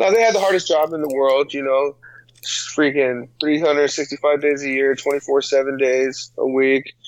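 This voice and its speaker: A man's fairly high voice with an American accent, fairly slow pace, ordinary pitch variation and an ordinary speaking voice. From San Diego, US West Coast. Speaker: personal trainer, podcast co-host. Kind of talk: casual chat.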